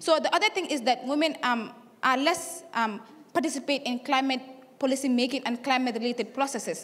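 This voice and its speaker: A woman with a high pitch talks at a fairly quick pace with ordinary pitch variation. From Gambia. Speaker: youth climate activist. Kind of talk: conference speech. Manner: halting, many fillers; fast.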